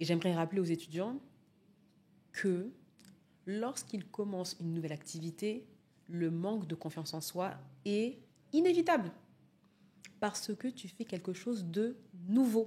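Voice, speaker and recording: A dark, mellow, somewhat breathy voice at a fairly slow pace, with ordinary pitch variation and long, frequent pauses. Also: woman, medium pitch for a woman. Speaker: public speaking coach. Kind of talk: interview answer.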